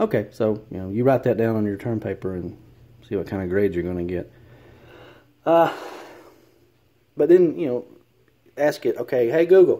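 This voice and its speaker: With a Southern accent, a man of medium pitch and a dark, mellow tone talks at a moderate pace, taking long, frequent pauses and swinging his pitch very widely. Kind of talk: casual commentary. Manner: hesitant, many fillers.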